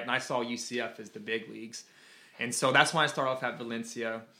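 A man's bright, sharp tone at a fairly quick pace. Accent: American. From US South, Georgia. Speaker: marine veteran and college student. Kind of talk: interview. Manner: casual.

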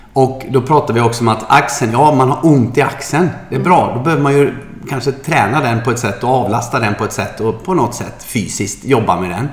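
Amid noticeable background noise and audible room echo, a man of medium pitch talks at a fairly quick pace with hardly any pauses and ordinary pitch variation. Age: 50s. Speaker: podcast co-host and yoga trainer. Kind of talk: casual chat.

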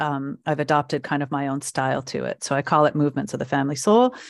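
A woman with an American accent and a very deep, low pitch, at a fairly quick pace with ordinary pitch variation. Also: dry, close sound with no echo. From California. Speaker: family constellation therapist and healer. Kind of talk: interview.

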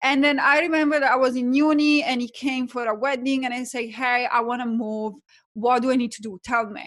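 Speaking at a fairly quick pace in an Italian accent, a woman has a high pitch, fairly even intonation, and big swings in loudness. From Italy. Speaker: life coach.

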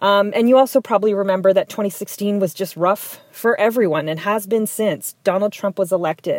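A woman speaks with an Ontario accent. The sound is dry and close, with no echo. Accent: Canadian English (Ontario). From southwestern Ontario, Canada (Tecumseh, near Windsor). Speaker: community advocate. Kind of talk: personal storytelling monologue.

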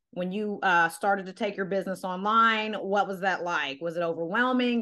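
With an unremarkable speaking voice, a woman at medium pitch talks with lively intonation against a quiet background. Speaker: podcast host and nutrition coach. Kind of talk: casual chat. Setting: video call.

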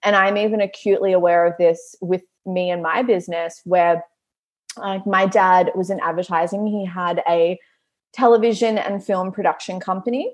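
In an Australian accent, a woman speaks with fairly even intonation. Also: medium pitch for a woman, moderate pace. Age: 30s. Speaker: business coach and Pilates studio owner. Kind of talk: casual chat.

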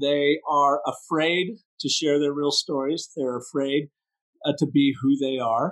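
This man has an ordinary speaking voice, fairly high in pitch, and talks at a fairly slow pace. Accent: American. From US Pacific Northwest. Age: 60s. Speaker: brand story strategist. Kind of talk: podcast interview.

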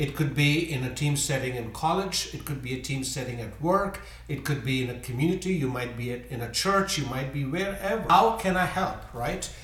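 A man's voice is heard against noticeable background noise. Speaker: guest, host's father. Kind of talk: casual chat.

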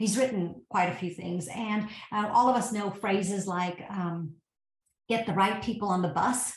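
Somewhat breathy, a woman speaks in an American accent at medium pitch with ordinary pitch variation, in audible room echo. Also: moderate pace. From US South, Georgia. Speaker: tech company founder and CEO. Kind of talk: interview.

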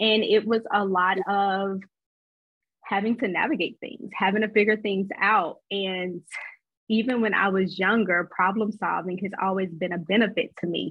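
A woman speaks in an unremarkable speaking voice, her medium pitch carried with fairly even intonation at a moderate pace. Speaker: therapist and intuitive healer. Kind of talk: casual chat.

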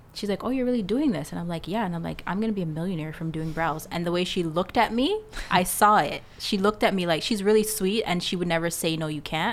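Against noticeable background noise, a woman speaks very fast with hardly any pauses, at a fairly low pitch with ordinary pitch variation. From Jamaica. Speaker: eyebrow artist and business coach. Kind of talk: casual chat. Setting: studio.

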